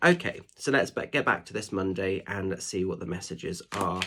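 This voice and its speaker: A man with a fairly low pitch is heard through noticeable background noise. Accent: English. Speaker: spiritual medium and tarot reader. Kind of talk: tarot guidance reading. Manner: chatty, informal.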